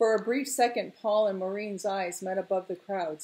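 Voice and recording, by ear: The voice reads aloud naturally. Its intonation is fairly even.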